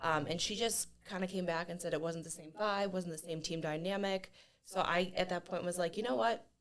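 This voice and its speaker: A woman with a Midwestern US accent speaks at a fairly quick pace with fairly even intonation. Her pitch is fairly low, and there is noticeable background noise. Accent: US Midwest. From northern Ohio, US. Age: 30s. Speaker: gym member and athlete. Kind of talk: podcast interview.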